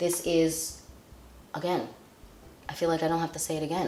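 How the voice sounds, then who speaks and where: There is audible room echo as a woman speaks. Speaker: beauty vlogger. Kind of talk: product review. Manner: casual, rambling.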